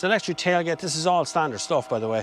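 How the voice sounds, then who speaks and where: A man in an animated tone at a very fast pace, lively in intonation, with a dry, close sound and no echo. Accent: Irish. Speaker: car reviewer. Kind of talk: car review walkaround.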